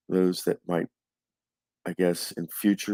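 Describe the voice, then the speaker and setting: A soft-spoken man's very deep, low voice, monotone and flat, in a dry, close sound with no echo. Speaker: tabletop hockey game stats host. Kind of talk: casual stats recap. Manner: halting, many fillers.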